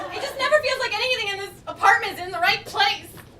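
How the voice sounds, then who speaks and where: This is a put-on character voice, squeaky and extremely high in pitch. It rattles along at a very fast pace over light background noise. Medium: stage play. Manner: dramatic, aloof, fussy.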